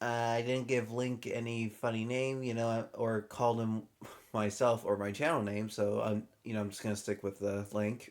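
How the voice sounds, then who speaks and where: With a medium pitch and a flat monotone, a man speaks at a moderate pace. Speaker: gaming YouTuber. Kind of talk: let's play commentary. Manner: halting, with many fillers; somewhat robotic when reading.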